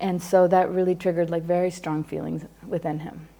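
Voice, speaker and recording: A woman speaks in an American accent. Her tone is dark and mellow. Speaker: psychologist teaching a class. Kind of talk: lecture. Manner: fast.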